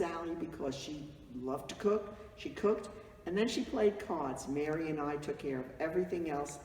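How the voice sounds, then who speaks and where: A woman's fairly low voice with lively intonation at a moderate pace, over noticeable background noise. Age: old. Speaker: family matriarch of a vineyard. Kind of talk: reminiscing interview to camera.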